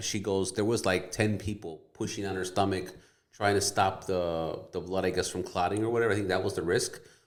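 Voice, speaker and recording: A man with an American accent speaks at a fairly quick pace in a fairly low pitch, his intonation fairly even, with audible room echo around him. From Wisconsin, US Midwest. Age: 40s. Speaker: realtor. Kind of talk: casual chat.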